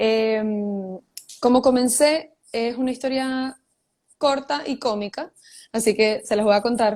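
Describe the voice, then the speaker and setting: A woman with a Venezuelan accent speaks in a fairly high pitch, her dark, mellow tone carrying ordinary pitch variation. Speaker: writer and journalist. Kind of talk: casual interview.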